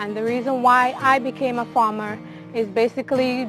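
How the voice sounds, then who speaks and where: A woman with a Caribbean accent at a fairly high pitch, moderate pace and ordinary pitch variation, with music in the background. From Grenada. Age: 20s. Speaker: aquaponics farmer. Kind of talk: interview answer.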